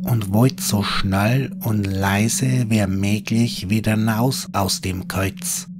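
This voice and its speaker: Over music in the background, a man with a fairly low pitch speaks in a dramatic tone at a very slow pace, with very wide pitch swings and hardly any pauses. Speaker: horror storyteller. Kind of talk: scripted ghost story narration in dialect. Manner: hushed, slow, eerie storytelling; dramatic, building suspense.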